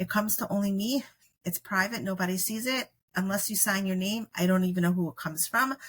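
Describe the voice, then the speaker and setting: At a very fast pace, a woman speaks with a medium pitch and ordinary pitch variation. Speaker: podcast host. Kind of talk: casual chat.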